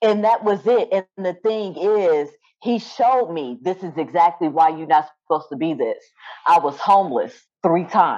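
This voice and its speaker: A woman with a medium pitch, an animated tone, lively intonation and a moderate pace. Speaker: spiritual medium. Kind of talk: casual interview chat.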